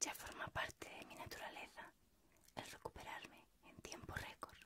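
A woman is whispering. Her pace is moderate. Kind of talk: personal reflective monologue, letter-like. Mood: intimate, reflective, warm. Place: home room.

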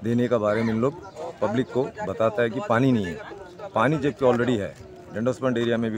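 A man speaks at a moderate pace, the sound dry with no echo, over loud background noise. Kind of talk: interview answer. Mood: aggrieved, complaining.

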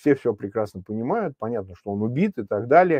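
The recording of this man's voice is dry with no echo. The background is quiet. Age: 50s. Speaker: opposition politician and political commentator; opposition politician, political commentator. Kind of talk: live stream political discussion. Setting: remote link while traveling. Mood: serious, analytical. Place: home room. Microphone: lapel.

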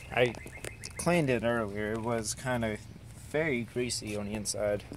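At a moderate pace and medium pitch, a man speaks with ordinary pitch variation in a dry sound with no echo, over light background noise. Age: 20s. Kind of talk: casual car tour talk to camera. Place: car. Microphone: phone near.

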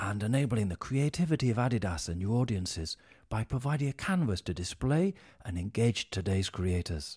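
Speaking fairly quickly against a quiet background, a somewhat breathy man with a British accent makes very wide pitch swings. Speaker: voice actor. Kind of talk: corporate narration. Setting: studio. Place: studio.

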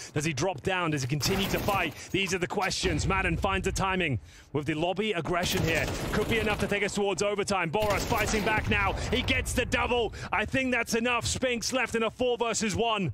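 An animated, dramatic delivery at a fairly quick pace, with ordinary pitch variation and very even loudness. Noticeable background noise sits behind it. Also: man, high pitch for a man. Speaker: esports caster. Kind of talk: sports commentary. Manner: animated, fast-paced play-by-play with dramatic, excitable delivery.

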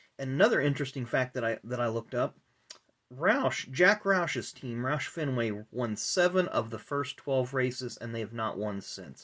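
A man talks at a fairly slow pace in a medium pitch. His tone is fairly bright with a slightly husky edge, and his intonation is lively.

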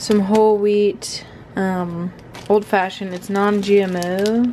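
Speaking at a very slow pace, a woman keeps a monotone, flat intonation over light background noise. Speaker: fitness vlogger. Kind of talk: casual vlog chat. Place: kitchen. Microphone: phone near.

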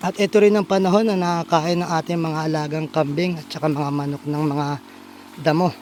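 This man has an unremarkable speaking voice, pitched fairly high for a man. He talks at a fairly quick pace with fairly even intonation. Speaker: vlogger, small farmer. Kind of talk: casual vlog walkthrough. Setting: outdoors on a farm.

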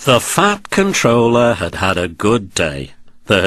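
The text is delivered in an unforced reading voice.

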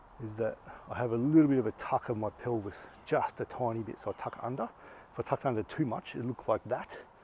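A man's dark, mellow, somewhat breathy voice at a very fast pace, ordinary pitch variation, dry sound with no echo and light background noise. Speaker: fitness coach. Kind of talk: tutorial. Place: garden.

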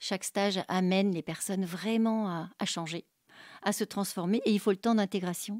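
A woman's medium-pitched, unremarkable speaking voice with fairly even intonation, dry and close with no echo, on a very clean recording with a silent background. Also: moderate pace. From Paris region, France. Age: 60s. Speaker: art therapist. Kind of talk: testimony.

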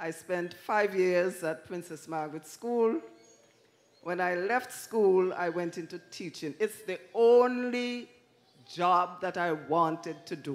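The delivery is very slow, with ordinary pitch variation. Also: woman, fairly low pitch for a woman. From Antigua, Bethesda village; Antigua. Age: old. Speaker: retired schoolteacher. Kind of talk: church interview testimony. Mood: warm, smiling, earnest. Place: stage. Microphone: handheld.

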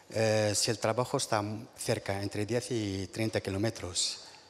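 The speaker is a man with a fairly low voice. He talks at a very slow pace. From Morocco. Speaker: farm worker and union delegate. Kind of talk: panel testimony. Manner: halting, stumbling. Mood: hesitant, earnest. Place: stage. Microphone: handheld.

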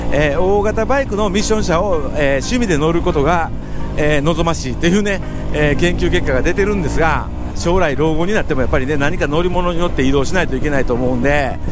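Over clear music in the background, a man talks at a very fast pace with a dry sound and no echo. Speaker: scooter rider vlogger. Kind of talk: casual vlog chat. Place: motorbike.

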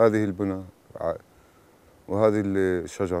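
The sound is dry, with no echo. A man speaks in a dark, mellow tone. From Palestine, West Bank. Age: 50s. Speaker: farmer. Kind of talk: video diary talk to camera.

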